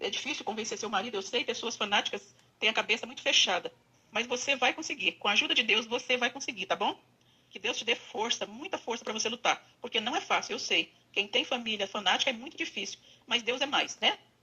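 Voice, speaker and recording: Speaking at a fairly quick pace, a woman has a high pitch. Her pitch variation is ordinary. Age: 60s. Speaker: former church member giving advice. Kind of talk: recorded voice message, testimony. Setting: recorded audio message.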